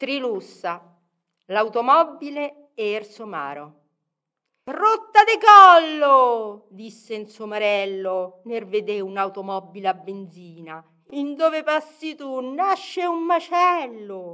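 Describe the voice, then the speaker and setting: Very slowly, a woman speaks at a high pitch in a bright, sharp tone, with very wide pitch swings and big swings in loudness. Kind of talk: poetry reading.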